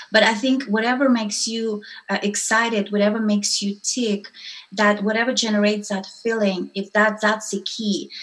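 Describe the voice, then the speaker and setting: Speaking at a moderate pace with a non-native accent, a woman keeps a fairly high pitch in a monotone, flat intonation. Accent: foreign-accented English. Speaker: entrepreneur and women's network founder. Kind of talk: interview.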